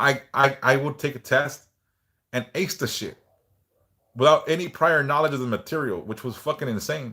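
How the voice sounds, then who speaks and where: A man's bright, sharp voice with long, frequent pauses on a very clean recording with a silent background. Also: fairly high pitch for a man, ordinary pitch variation, moderate pace. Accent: American. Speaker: livestreamer. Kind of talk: casual livestream chat.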